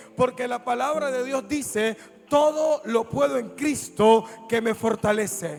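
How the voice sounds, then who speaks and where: With music in the background, a man speaks very slowly at an extremely high pitch. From Colombia, Buenaventura (Pacific coast). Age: young. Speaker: pastor. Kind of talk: sermon. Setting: church service with congregation. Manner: animated.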